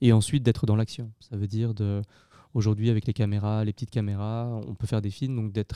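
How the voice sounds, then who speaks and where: A man with a dark, mellow tone speaks at a fairly quick pace and medium pitch, his intonation fairly even. The sound is dry and close with no echo, very clean, with a silent background. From France, Lyon. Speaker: film director and producer. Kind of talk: interview. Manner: halting, many hesitations.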